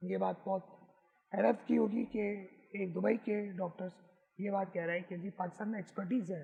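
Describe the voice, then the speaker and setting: Fairly even intonation from a man with a high pitch, at a moderate pace. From Pakistan, Karachi. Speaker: photographer. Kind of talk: interview.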